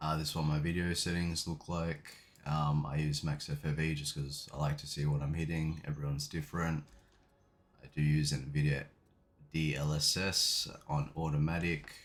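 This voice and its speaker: A man talks quietly in a very deep, low pitch with a monotone, flat delivery. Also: moderate pace. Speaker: gaming YouTuber. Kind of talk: tutorial. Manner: casual, hesitant fillers.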